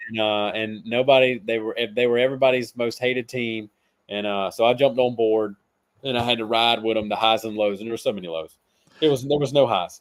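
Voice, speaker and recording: A man speaks with a Southern US accent and fairly even intonation. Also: medium pitch for a man, fairly quick pace. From South Carolina. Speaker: fantasy football analyst. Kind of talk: casual podcast chat.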